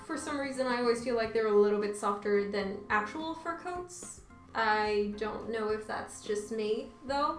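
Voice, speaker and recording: A woman speaks at a fairly high pitch with lively intonation. Noticeable background noise and audible room echo are present. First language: Portuguese. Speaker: YouTuber. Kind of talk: casual try-on haul vlog. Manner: casual, filler-heavy.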